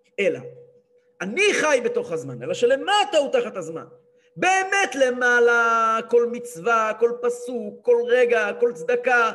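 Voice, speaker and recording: In a room with audible echo, a man speaks at an extremely high pitch. His pace is fairly slow and his intonation lively. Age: 30s. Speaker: rabbi and Torah teacher. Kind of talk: religious lecture. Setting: live-streamed class.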